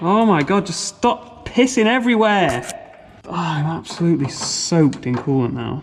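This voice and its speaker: With an English accent, a man talks at a moderate pace in a high pitch with very wide pitch swings, over noticeable background noise. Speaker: car-build YouTuber. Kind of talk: DIY garage vlog. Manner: shouting over engine noise.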